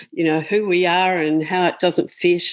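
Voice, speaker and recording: A woman with an unremarkable speaking voice talks at a medium pitch and a fairly slow pace. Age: 60s. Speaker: author. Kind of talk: interview conversation.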